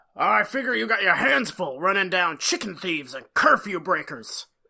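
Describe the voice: A man's put-on character voice, high-pitched with vocal fry, big pitch swings, a bright, sharp tone and a moderate pace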